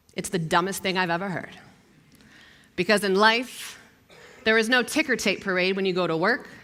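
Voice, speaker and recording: With a Philadelphia accent, a woman speaks at a moderate pace in a medium-pitched voice with a bright, sharp tone and ordinary pitch variation. Her delivery is animated and energetic, broken by long, frequent pauses. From US Northeast, South Philadelphia. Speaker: TV news anchor. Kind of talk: motivational talk.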